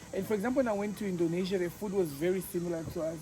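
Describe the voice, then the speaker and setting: A high-pitched man's voice at a fairly quick pace, with ordinary pitch variation and noticeable background noise. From Tanzania. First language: Swahili. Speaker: travel vlogger. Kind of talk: casual chat.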